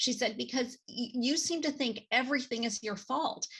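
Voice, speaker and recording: A woman's voice with vocal fry at a moderate pace. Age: 60s. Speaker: nonprofit executive and author. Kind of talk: interview. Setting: podcast interview. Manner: halting, many fillers.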